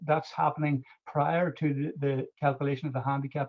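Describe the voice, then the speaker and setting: With an Irish accent, a man talks at a fairly quick pace. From Ireland. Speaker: golf club manager or secretary. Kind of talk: webinar question. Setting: online webinar. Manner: halting.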